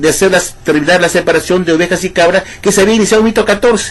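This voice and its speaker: A man's high-pitched voice at a very fast pace, over noticeable background noise. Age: 60s. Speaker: ex-Jehovah's Witness video commentator. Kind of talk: monologue rebuttal video. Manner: animated.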